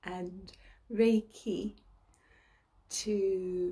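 A woman with a medium pitch speaks in a calm, soothing, dark and mellow tone that is somewhat breathy, with monotone, flat intonation. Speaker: ASMR and reiki practitioner, meditation guide. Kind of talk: guided relaxation meditation. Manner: slow, calm, soothing. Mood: warm, smiling. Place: home room. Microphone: phone near.

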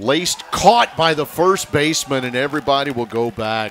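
Here a man has an ordinary speaking voice at a moderate pace. His pitch is fairly high, and his intonation is lively. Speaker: play-by-play announcer. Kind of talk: live baseball play-by-play, clipped highlight calls of each pitch and play. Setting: broadcast booth at the ballpark. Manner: steady, matter-of-fact narration between plays.

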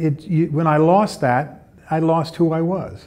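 Dark, mellow tone from a man. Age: 70s. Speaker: war veteran and retreat participant. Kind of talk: testimony. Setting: retreat event. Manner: halting. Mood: earnest, reflective, emotional. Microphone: lapel.

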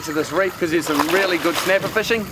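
Through loud background noise, a man talks at a very fast pace with a high pitch, the sound dry with no echo. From New Zealand. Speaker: fishing TV show host. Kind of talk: TV presenting with casual banter. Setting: outdoors on a boat. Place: boat.

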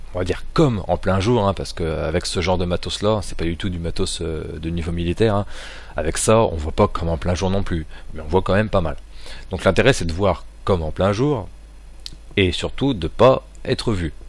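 At a moderate pace, a man with a very deep, low pitch speaks with long, frequent pauses. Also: ordinary pitch variation, dry sound with no echo. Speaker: amateur product reviewer. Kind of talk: product review. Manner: casual, hesitant with fillers. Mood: relaxed, joking. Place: home room. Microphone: poor crackling sound; camera far.

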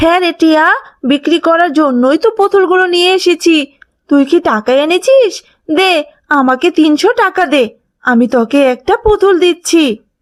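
An extremely high-pitched cartoonish character voice from a woman. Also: moderate pace. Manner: loud, hawking.

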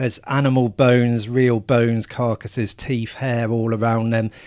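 This man speaks with an English accent at a moderate pace, his intonation monotone and flat, on a very clean recording with a silent background. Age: 40s. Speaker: film journalist. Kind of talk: casual chat. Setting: small hot room.

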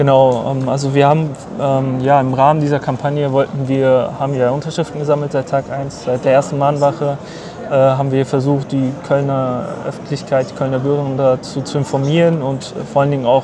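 A man talks at a fairly quick pace in a monotone, flat intonation, his dry sound carrying no echo over noticeable background noise. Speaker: brother of detained journalist. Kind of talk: interview answer. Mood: earnest, somewhat indignant. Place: street.

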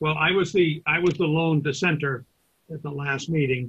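Against a quiet background, a man with an American accent sounds somewhat breathy, speaking at a moderate pace with fairly even intonation. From Massachusetts. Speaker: planning board chairman. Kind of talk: public meeting chairing. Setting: video call. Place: home room. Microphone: webcam.

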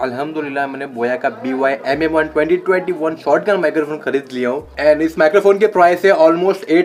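With light background noise, the speech runs at a moderate pace with hardly any pauses and ordinary pitch variation. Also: man. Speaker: vlogger. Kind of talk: casual vlog chat. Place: home room. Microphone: handheld.

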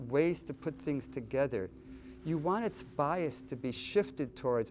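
A man talks fairly slowly while faint music plays behind him. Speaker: interviewee. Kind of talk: interview answer. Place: studio. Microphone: lapel.

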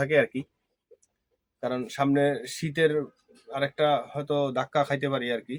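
A man's fairly high voice holds a monotone, flat intonation, recorded dry and close with no echo. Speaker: farmer and village vlogger. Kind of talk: casual vlog talk to camera.

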